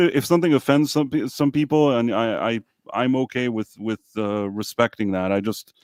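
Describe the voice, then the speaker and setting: A man talks in a normal speaking voice with lively intonation. The sound is dry and close, with no echo. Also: medium pitch for a man, moderate pace, very clean recording, silent background. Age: 40s. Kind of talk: casual chat.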